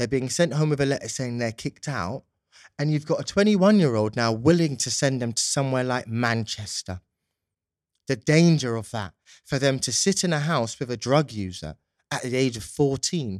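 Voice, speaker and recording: Lively intonation at a moderate pace in a London accent. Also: man, medium pitch for a man. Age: 20s. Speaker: youth justice consultant and policy advisor. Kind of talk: interview. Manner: polished speaking style.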